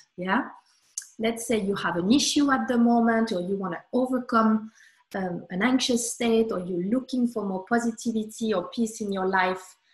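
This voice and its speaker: Over a quiet background with audible room echo, a woman speaks at a moderate pace in a fairly high pitch with fairly even intonation. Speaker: sophrologist. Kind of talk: guided meditation. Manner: calm, soothing. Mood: calm, warm. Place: home room. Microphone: webcam.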